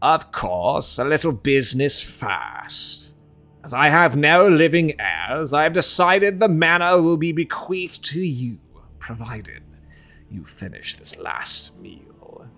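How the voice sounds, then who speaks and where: A man performs a put-on character voice at a fairly high pitch. He moves at a fairly slow pace over faint music in the background. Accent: British. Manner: formal, dramatic.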